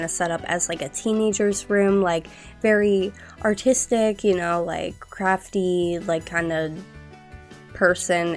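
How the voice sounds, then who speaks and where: This woman has a fairly low voice and an upbeat tone. She talks at a very slow pace over music in the background. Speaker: gaming YouTuber. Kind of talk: casual rambling commentary over gameplay. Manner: chatty, upbeat.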